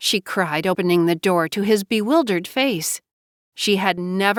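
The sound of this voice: An unforced reading voice with ordinary pitch variation is heard, and the background stays quiet.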